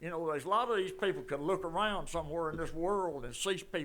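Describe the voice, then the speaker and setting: A man with an Alabama accent speaks in a high-pitched voice. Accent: US Southern (Alabama). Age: 80s+. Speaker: resident speaking at public comment. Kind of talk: storytelling at public meeting.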